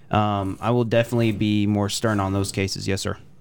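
With an American accent, a man delivers an unremarkable speaking voice at a fairly quick pace, his fairly low pitch held in fairly even intonation. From Texas. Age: 20s. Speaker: political candidate. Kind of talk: interview. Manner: formal.

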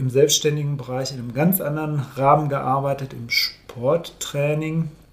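Somewhat breathy and monotone, a man speaks at a moderate pace in a fairly high pitch, with big swings in loudness. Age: 50s. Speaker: coach. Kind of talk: casual chat. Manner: halting.

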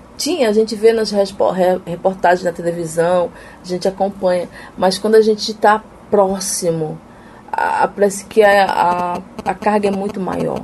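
Using fairly even intonation and a medium pitch, a woman talks at a fairly slow pace with long, frequent pauses. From Amapá, northern Brazil. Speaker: missionary and seminary student. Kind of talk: interview testimony.

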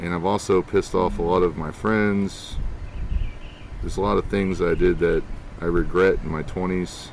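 With little pitch movement, a man speaks at a low pitch. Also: moderate pace.

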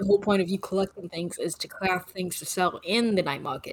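A woman speaks at a fairly quick pace in a normal speaking voice of medium pitch. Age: 30s. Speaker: podcast co-host. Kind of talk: casual chat.

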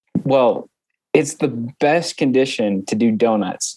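An American man with a medium pitch and ordinary pitch variation speaks in a plain, everyday voice. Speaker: student podcast co-host. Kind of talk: casual chat.

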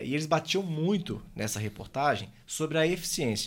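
A man talks at a moderate pace in an unremarkable speaking voice pitched fairly high. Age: 30s. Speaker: podcast host. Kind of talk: interview.

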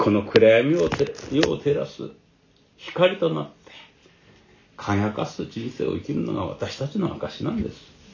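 A man at a fairly slow pace, with big swings in loudness and noticeable background noise. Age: 70s. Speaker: pastor. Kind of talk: sermon.

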